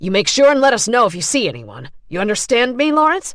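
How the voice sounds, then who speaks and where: This woman puts on a character voice at a fairly high pitch. She speaks very fast, her pitch swinging very widely. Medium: read story. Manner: irritated, bullying.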